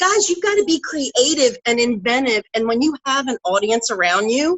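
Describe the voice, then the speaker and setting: A woman speaks loudly in a high, animated voice. Her pitch swings very widely. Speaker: network marketing seller, former truck driver. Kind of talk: motivational talk on live stream.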